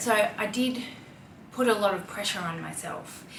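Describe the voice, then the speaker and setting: The speaker has an Australian accent. Noticeable background noise and audible room echo fill the recording. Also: woman. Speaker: style vlogger. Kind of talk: casual chat. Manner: conversational, with fillers.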